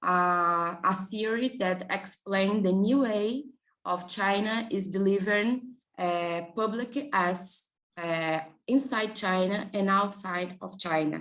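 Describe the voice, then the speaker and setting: In a Portuguese accent, a woman speaks very slowly at a medium pitch with ordinary pitch variation. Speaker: graduate student researcher. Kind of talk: conference presentation. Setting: conference panel. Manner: halting.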